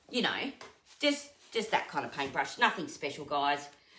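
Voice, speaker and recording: A woman speaks loudly at a moderate pace. Her pitch swings very widely. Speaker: furniture painter and content creator. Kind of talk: live stream painting tutorial.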